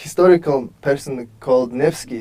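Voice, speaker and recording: A man with a Mongolian accent, fairly high pitch, a dark, mellow tone and fairly even intonation. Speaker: author and world traveler. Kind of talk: tv interview.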